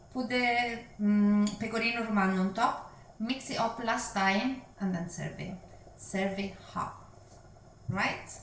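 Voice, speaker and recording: A woman with an Italian accent speaks at a medium pitch and a fairly slow pace, with long, frequent pauses and fairly even intonation. Noticeable background noise and audible room echo come through. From Italy. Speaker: cooking and language teacher, channel host. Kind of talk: cooking tutorial. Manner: casual, hesitant with fillers.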